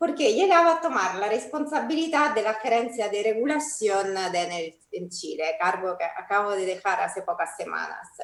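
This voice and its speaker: A woman with an Italian accent, fairly high-pitched, with very wide pitch swings, a moderate pace and hardly any pauses. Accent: Italian accent noticeable. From Italy. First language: Italian (speaking Spanish). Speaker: energy company executive. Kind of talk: opening speech. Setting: online panel event.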